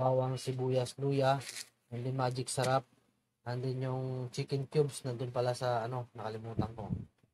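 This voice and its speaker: A man's somewhat breathy, dark, mellow voice at medium pitch, moderate in pace and monotone, flat in intonation. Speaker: cooking vlogger. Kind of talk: casual vlog cooking tutorial.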